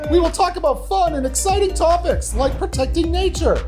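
A cartoonish character voice moves at a fairly quick pace over loud music in the background. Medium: puppet. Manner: playful, comic.

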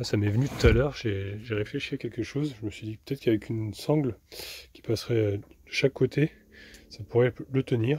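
A man speaks at a fairly quick pace and medium pitch, with ordinary pitch variation. His tone is dark and mellow with a slightly husky edge.

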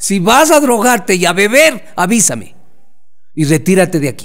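Very wide pitch swings in a man's high voice. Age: 50s. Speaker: sports journalist. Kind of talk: interview. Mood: reflective, candid. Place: home room. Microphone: studio mic.

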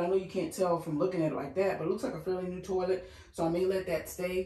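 A woman is speaking. Audible room echo hangs around her voice. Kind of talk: house tour commentary. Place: bathroom.

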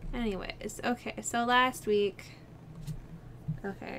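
A woman is speaking. Light background noise sits behind her. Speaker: vlogger. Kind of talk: casual vlog chat. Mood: chatty, laughs often. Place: home room. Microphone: webcam.

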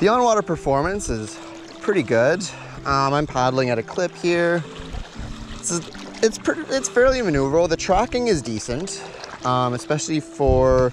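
There is noticeable background noise as a man speaks at a moderate pace with long, frequent pauses, the sound dry with no echo. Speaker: product reviewer. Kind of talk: casual review commentary. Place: waterside.

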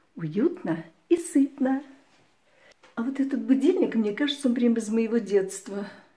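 A woman talks at a moderate pace. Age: 60s. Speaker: retiree video blogger. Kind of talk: casual home tour talk to camera. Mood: warm, friendly. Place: home room. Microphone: phone near.

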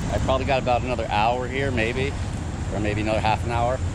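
A man talks at a very fast pace. The sound is dry with no echo, over loud background noise. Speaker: outdoor treasure-hunting vlogger. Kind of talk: casual vlog chat. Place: waterside. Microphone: phone near.

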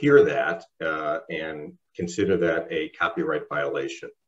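The background stays quiet while a man speaks. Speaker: meeting co-host. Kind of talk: meeting announcements. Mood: relaxed, lightly humorous. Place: home room. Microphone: video call.

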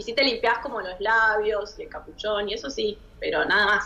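In a Rioplatense accent, a woman speaks at a moderate pace. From Argentina. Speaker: sexologist; guest. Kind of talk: expert Q&A on radio. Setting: studio. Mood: relaxed, friendly, explanatory. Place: home room. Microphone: too quiet; video call.

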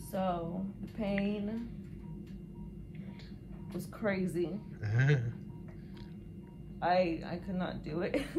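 A woman with a fairly low pitch speaks while music plays in the background. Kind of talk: casual vlog chat. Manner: weary, drained voice lying in bed. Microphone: camera far.

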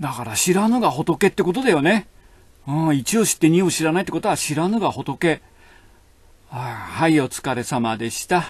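Pitch swings very widely as the speaker talks at a moderate pace. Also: man, fairly high pitch for a man. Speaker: hairdresser. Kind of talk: casual monologue, comedic hair-salon talk. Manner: chatty, casual, colloquial.

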